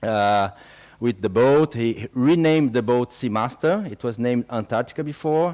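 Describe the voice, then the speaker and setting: Someone speaks in a French accent at a moderate pace with ordinary pitch variation. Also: man, medium pitch for a man. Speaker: expedition program speaker. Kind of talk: public talk. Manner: halting, many fillers.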